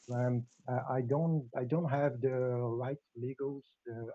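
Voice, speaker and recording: Speaking fairly slowly with a non-native accent, a man uses a medium pitch, a dark, mellow tone and fairly even intonation in a dry, close sound with no echo. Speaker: lawyer presenting a web radio project. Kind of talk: live video-call presentation. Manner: halting.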